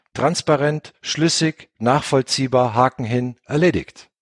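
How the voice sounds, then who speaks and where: A man with a fairly high pitch speaks at a fairly slow pace in an unremarkable speaking voice with ordinary pitch variation. The sound is dry and close with no echo, a very clean recording with a silent background. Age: 40s. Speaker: software company founder. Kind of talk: interview. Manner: many filler sounds (äh).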